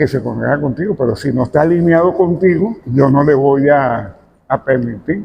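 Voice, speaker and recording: A man's somewhat breathy, fairly high voice at a moderate pace, with ordinary pitch variation. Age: 70s. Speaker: pastor. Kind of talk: interview.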